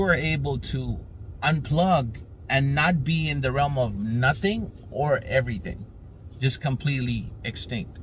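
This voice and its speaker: The speaker goes at a moderate pace with ordinary pitch variation. Room echo is audible. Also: man. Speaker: spiritual teacher. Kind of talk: casual spiritual talk.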